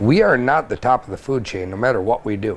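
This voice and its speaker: A man's voice at a medium pitch, with ordinary pitch variation. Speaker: fishing guide. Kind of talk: podcast interview. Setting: fish house at a trade show. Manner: loud; animated.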